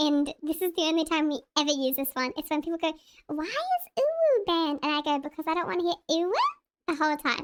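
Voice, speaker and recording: At a very fast pace, a put-on character voice chatters in a squeaky, high pitch. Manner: cutesy, sweet, exaggerated.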